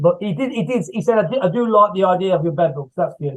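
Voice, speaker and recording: This man talks very fast. Lively intonation colors his words. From England, Coventry area. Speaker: horror author and screenwriter. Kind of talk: casual interview chat. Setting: video call. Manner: repetitive, halting.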